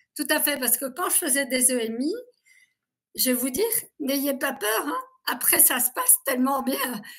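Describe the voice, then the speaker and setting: A woman in a high pitch talks at a moderate pace with long, frequent pauses. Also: ordinary pitch variation, very clean recording, silent background. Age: 60s. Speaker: abuse survivor giving testimony. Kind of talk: interview testimony.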